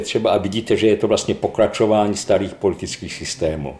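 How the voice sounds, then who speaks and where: With noticeable background noise behind him, a man talks at a fairly quick pace. His pitch is fairly low, with ordinary variation. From Slovakia, Levoča. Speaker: neurologist professor. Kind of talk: interview.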